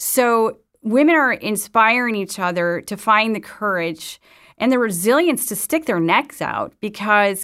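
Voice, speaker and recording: On a very clean recording with a silent background, a woman with an unremarkable speaking voice and an American accent talks at a fairly slow pace, at medium pitch with ordinary pitch variation. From US Midwest, Madison, Wisconsin. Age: 50s. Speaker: newspaper editor and journalist. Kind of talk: interview.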